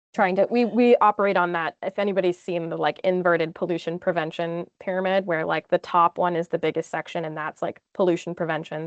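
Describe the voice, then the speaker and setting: This woman speaks at a fairly quick pace with a fairly low pitch. Her intonation is fairly even. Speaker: engineer, webinar guest speaker. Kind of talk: webinar Q&A. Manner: fast.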